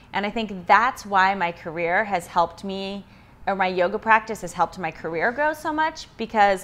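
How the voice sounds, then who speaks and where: Speaking at a moderate pace with an American accent, a woman uses a plain, everyday voice of medium pitch and lively intonation against a quiet background. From US, Idaho (Pocatello). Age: 30s. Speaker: yoga and fitness instructor. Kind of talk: personal interview.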